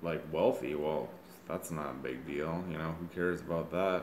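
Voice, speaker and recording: The voice has ordinary pitch variation, and room echo can be heard. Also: man. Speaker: vlogger telling personal story. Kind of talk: personal monologue. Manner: slow; halting.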